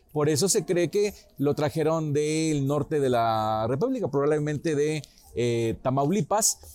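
Fairly slow and very even in loudness, a man speaks at a fairly high pitch. His intonation is lively, and his tone is dark and mellow. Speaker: local history teacher. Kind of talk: informal history talk. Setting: restaurant.

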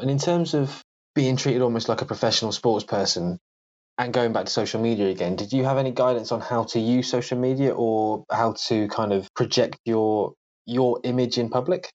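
Speaking at a fairly quick pace with a British accent, a man keeps a medium pitch, ordinary pitch variation and very even loudness. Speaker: podcast host. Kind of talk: casual chat; scripted narration.

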